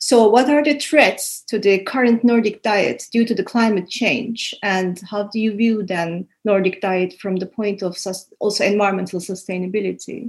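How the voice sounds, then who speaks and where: Somewhat breathy, a woman speaks at a medium pitch with hardly any pauses. Her pitch variation is ordinary, and the background is quiet. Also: moderate pace. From Turkey. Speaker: podcast host. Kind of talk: interview.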